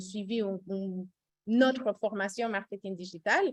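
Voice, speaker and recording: A woman speaks at a fairly slow pace with a slight Costa Rican accent. Her pitch varies in an ordinary way. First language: Spanish (speaking French). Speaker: recruitment director, webinar host. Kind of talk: webinar presentation. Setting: Zoom webinar. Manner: hesitant, many fillers.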